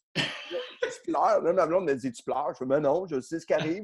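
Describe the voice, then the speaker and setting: A man is talking. His voice sits high in pitch. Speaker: comedian. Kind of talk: casual chat. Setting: video call from his garage. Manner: loud.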